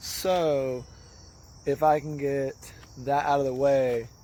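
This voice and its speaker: A man's fairly high pitch in a monotone, flat intonation. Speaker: YouTuber who cuts grass and modifies his truck. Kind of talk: casual vlog.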